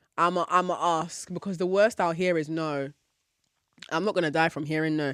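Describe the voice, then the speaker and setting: A woman speaks at a moderate pace with a bright, sharp, animated tone, recorded dry and close with no echo on a very clean track with a silent background. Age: 20s. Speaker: podcast host. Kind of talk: casual monologue.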